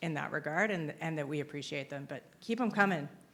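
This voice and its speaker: Speaking fairly quickly, a woman uses a very deep, low pitch with vocal fry. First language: not English (English is second written language). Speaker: compliance consultant. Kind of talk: conference Q&A. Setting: stage with audience.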